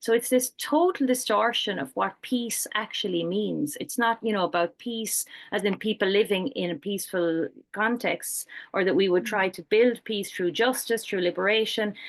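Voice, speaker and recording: Against a quiet background, a woman speaks in a fairly high pitch with an Irish accent. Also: ordinary pitch variation, moderate pace. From Ireland. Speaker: peace researcher and programme coordinator. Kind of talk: panel discussion.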